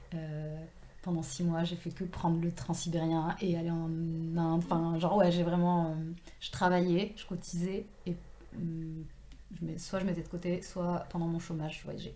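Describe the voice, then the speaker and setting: The speech moves at a fairly slow pace with monotone, flat intonation. The tone is dark and mellow, and room echo is audible. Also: woman. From southwestern France, Toulouse and Tarn. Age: 30s. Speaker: author. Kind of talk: casual interview. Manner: hesitant, many fillers.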